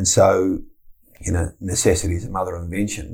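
With an Australian accent, a man speaks fairly quickly in a very deep, low pitch that sounds somewhat breathy. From Tasmania, Australia. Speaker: football club chief executive. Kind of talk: interview.

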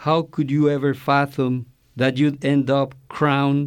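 A man speaks at a fairly high pitch in a monotone, flat way. The recording is very clean with a silent background. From Mexico. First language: Spanish. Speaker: poet and college language instructor. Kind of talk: reading aloud poetry.

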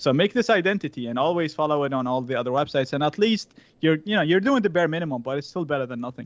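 A man with a fairly high pitch rattles through his words at a very fast pace. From Iraq. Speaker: cybersecurity educator and company CEO. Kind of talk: interview conversation.

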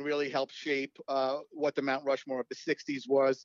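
An American accent marks this man's speech. His pitch is fairly high and his pace moderate. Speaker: author and baseball podcast host. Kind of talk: casual interview. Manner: halting, many fillers and repeats.

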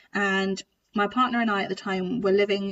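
Speaking at a moderate pace, a woman uses a plain, everyday voice at medium pitch with ordinary pitch variation. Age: 30s. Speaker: trombonist and podcast host. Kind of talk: casual interview chat.

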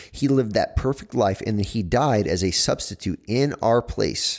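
With an ordinary speaking voice, a man talks at a moderate pace and medium pitch with ordinary pitch variation, on a very clean recording with a silent background. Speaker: co-host, church teacher. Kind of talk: casual chat on faith.

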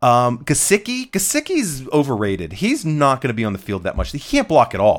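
A man speaks at a moderate pace. The recording is very clean, with a silent background. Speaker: fantasy football expert. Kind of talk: casual chat.

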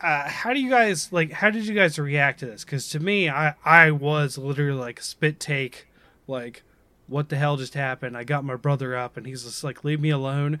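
Speaking with an American accent, a man uses a bright, sharp tone in a fairly high pitch with ordinary pitch variation. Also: moderate pace, big swings in loudness. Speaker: podcast host. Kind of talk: casual chat. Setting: online podcast recording.

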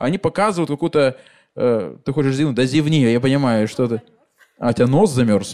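A man with a dark, mellow tone talks at a fairly quick pace with lively intonation. He leaves long, frequent pauses. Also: medium pitch for a man. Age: 30s. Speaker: comedian hosting live podcast. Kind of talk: live stand-up style podcast with audience. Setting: stage with live audience. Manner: animated.

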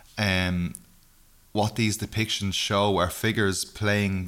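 A man with an Irish accent speaks at a very slow pace. His intonation is monotone and flat, in a very clean recording with a silent background. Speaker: podcast host. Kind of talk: scripted narration. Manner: casual, self-deprecating.

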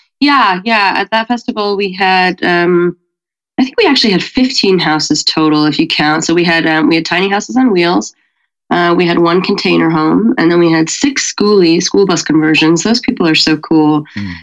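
At a moderate pace, a woman with an American accent talks in a fairly low pitch, in a normal speaking voice. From Colorado. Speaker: event coordinator and musician. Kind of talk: casual interview chat.

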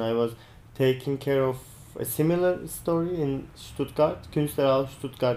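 A man talks at a moderate pace in a medium pitch, his tone dark and mellow and his intonation fairly even. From Turkey. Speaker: art curator, gallery director. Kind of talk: interview.

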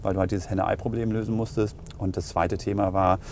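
A man's dark, mellow tone comes through at a fairly low pitch and a very fast pace. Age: 40s. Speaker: payments company executive. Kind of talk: interview.

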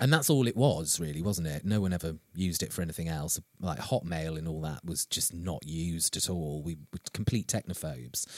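In an English accent, a man with a very deep, low pitch talks at a fairly quick pace with hardly any pauses on a very clean recording with a silent background. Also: ordinary pitch variation, dry, close sound with no echo. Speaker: podcast host, author and actor. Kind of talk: casual chat.

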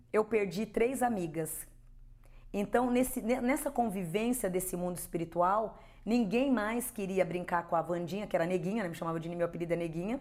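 Medium in pitch with ordinary pitch variation, a woman speaks at a fairly quick pace in an ordinary speaking voice. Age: 50s. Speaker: spiritual medium. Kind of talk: interview testimony.

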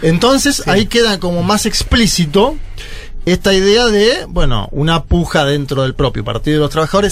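A man speaks at a moderate pace. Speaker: political commentator. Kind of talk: casual chat.

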